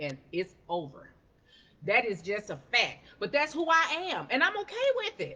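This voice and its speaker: Loud and animated, a woman with a fairly high, bright, sharp voice speaks at a moderate pace with very wide pitch swings and vocal fry. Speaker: life coach. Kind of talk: motivational talk on a livestream. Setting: live stream.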